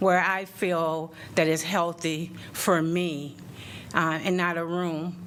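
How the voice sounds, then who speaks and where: A woman with an American accent speaks at a fairly low pitch in a bright, sharp tone. Her intonation is monotone and flat, and room echo is audible. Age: 60s. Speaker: public commenter, nursing assistant. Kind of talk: public comment at council meeting. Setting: city council meeting room. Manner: halting, many fillers.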